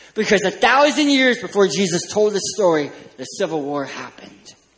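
A man with an American accent swings his pitch very widely. Audible room echo surrounds his voice. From California. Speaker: children's ministry speaker. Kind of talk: sermon.

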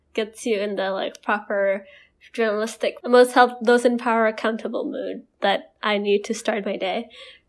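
The speaker has an Indonesian accent and talks at a fairly slow pace. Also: woman, fairly high pitch for a woman, fairly even intonation. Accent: Indonesian, international-school English. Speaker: podcast co-host. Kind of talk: casual chat.

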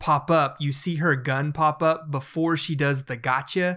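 A man speaks with a slight Southern US accent. His pitch is fairly high, with ordinary pitch variation. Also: very clean recording, silent background. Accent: slight Southern twang. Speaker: podcast co-host. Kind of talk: casual chat.

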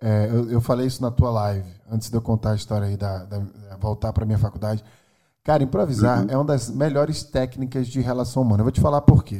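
Very fast, a man with a Northeastern Brazilian accent talks at a medium pitch in a dark, mellow tone with ordinary pitch variation. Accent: Northeastern Brazilian (Alagoas). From Brazil, Maceió, Alagoas (Northeast). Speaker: neuroscientist and tech executive. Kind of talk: casual interview.

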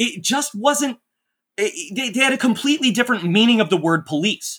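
In a very clean recording with a silent background, a man raises and projects his voice. His bright, sharp tone moves at a fairly quick pace with lively intonation. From North Texas, Dallas suburb. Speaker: writer. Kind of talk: casual chat. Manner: halting, many fillers.

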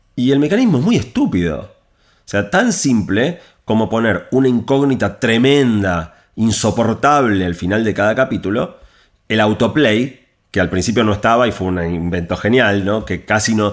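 In a Rioplatense accent, a man talks at a moderate pace with lively intonation and a medium pitch. The recording is very clean, with a silent background. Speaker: author and technology speaker. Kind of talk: interview.

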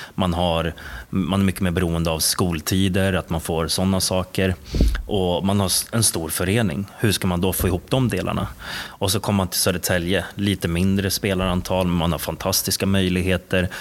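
Over noticeable background noise, a man with a very deep, low pitch talks at a moderate pace, his loudness very even and his intonation fairly even. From Stockholm, Sweden (Bromma). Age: 20s. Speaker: basketball coach. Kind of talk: interview.

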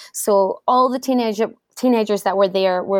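In a Scottish accent, a woman talks at a fairly quick pace with fairly even intonation, the sound dry and close with no echo. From Scotland, Edinburgh. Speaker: travel blogger and former cruise ship entertainer. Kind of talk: interview.

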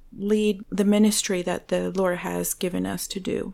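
With a Spanish accent, a woman of medium pitch speaks at a moderate pace in a dark, mellow tone, on a very clean recording with a silent background. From Venezuela. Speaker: church ministry assistant. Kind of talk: interview.

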